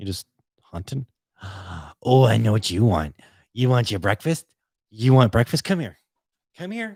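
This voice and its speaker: Speaking with an American accent, a man sounds somewhat breathy and moves at a moderate pace with long, frequent pauses. His pitch swings very widely, and the recording is very clean with a silent background. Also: medium pitch for a man, dry, close sound with no echo. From Boston. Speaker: podcast host. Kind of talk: casual solo podcast chat. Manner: casual, rambling with self-corrections.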